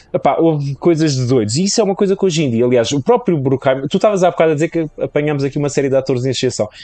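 With a European Portuguese accent, a man talks at a very fast pace with hardly any pauses. His voice is fairly high, dark and mellow, with lively intonation. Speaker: podcaster. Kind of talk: casual chat.

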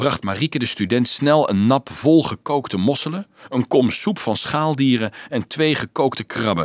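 What you hear is plain reading aloud.

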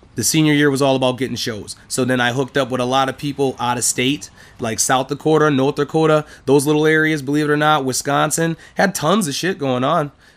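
A man speaks in a normal speaking voice, fairly high in pitch. His intonation stays fairly even at a fairly quick pace. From St. Paul, Minnesota. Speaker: hip hop artist. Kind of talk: interview monologue. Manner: casual.

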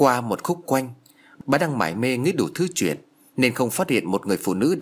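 Lively intonation in plain reading aloud

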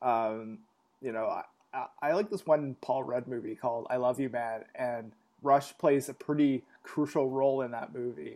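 A man with a Canadian accent and an unremarkable speaking voice, medium-pitched, at a moderate pace with fairly even intonation, on a very clean recording with a silent background. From Canada. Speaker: podcast host. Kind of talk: casual chat.

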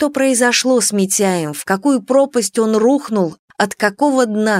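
This plain reading aloud moves up and down in pitch as much as usual.

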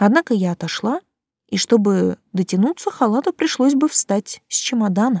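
With lively intonation, a natural voice reads aloud against a quiet background.

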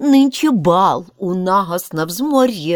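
The plain reading aloud carries lively intonation.

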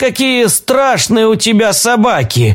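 Mumbling and shaky, a man does a put-on character voice at a high pitch and fairly slow pace, in a very clean recording with a silent background. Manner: timid, shaky.

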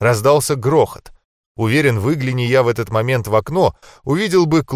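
A natural reading voice carries the text. Little is heard behind it.

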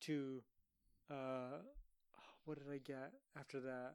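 This man's voice sits at a fairly high pitch. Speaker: podcast co-host. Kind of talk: casual banter podcast chat. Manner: crude, sarcastic.

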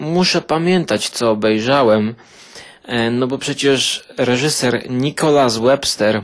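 A man's medium-pitched voice at a very slow pace, with ordinary pitch variation and noticeable background noise. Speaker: film reviewer podcaster. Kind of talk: casual film review monologue.

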